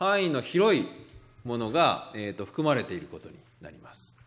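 Audible room echo surrounds a man speaking at a moderate pace. His fairly high voice moves in very wide pitch swings. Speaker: literature professor. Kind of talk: lecture. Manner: halting, many fillers.

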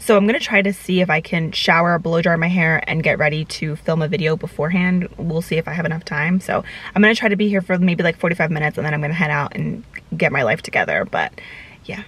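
A raspy woman's voice, low in pitch yet fairly bright in tone, at a fast pace with ordinary pitch variation

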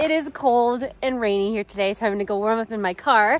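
A woman at a fairly quick pace, ordinary pitch variation, dry sound with no echo. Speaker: exploration vlogger. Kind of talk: casual vlog chat. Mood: cheerful, slightly chilly. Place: open country. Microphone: phone near.

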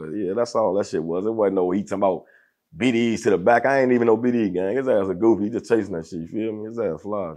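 Over a quiet background, a man with a fairly low pitch and a dark, mellow tone talks at a very fast pace. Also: ordinary pitch variation. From Chicago, US. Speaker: interview guest. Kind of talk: casual chat. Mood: dismissive, storytelling. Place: studio.

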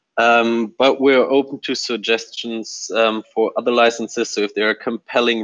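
The man's pitch is medium and his pace fairly slow. The sound is dry with no echo, over a quiet background. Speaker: software developer. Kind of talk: team meeting update. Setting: video call. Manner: hesitant, many fillers. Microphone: video call.

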